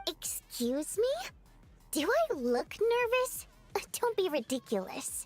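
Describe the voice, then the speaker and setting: Clear music plays behind a woman doing a put-on character voice at an extremely high pitch. Her pitch swings very widely, and she leaves long, frequent pauses. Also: fairly slow pace. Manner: nervous.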